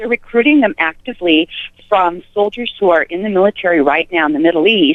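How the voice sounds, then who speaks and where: Using an unremarkable speaking voice, a woman with an American accent talks at a fairly quick pace, her medium pitch shaped by lively intonation. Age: 60s. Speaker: caller. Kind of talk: casual chat.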